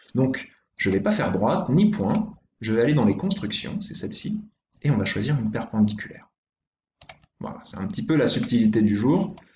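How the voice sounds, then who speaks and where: With a dark, mellow tone and a somewhat breathy sound, a man at a medium pitch talks at a moderate pace, using very wide pitch swings and long, frequent pauses. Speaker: primary school teacher. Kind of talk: tutorial.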